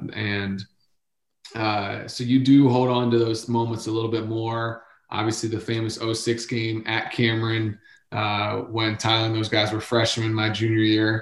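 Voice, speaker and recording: The man's intonation is monotone and flat, at a medium pitch. He speaks at a moderate pace. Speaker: former player, sports podcast guest analyst. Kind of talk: casual sports talk. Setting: kids audible in the background.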